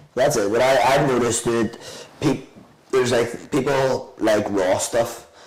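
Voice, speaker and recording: Audible room echo surrounds the voice. A man speaks at a medium pitch. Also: fairly slow pace. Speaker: restaurant owner. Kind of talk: casual chat. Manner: animated.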